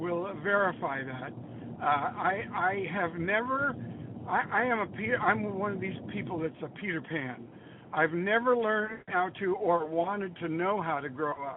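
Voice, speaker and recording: Noticeable background noise underlies speech delivered fairly slowly. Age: 80s+. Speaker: songwriter. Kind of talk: casual interview. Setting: phone call. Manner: animated.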